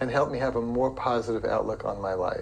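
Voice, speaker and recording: The man has an ordinary speaking voice, medium pitch, and ordinary pitch variation. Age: 60s. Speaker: blind yoga practitioner. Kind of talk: personal introduction.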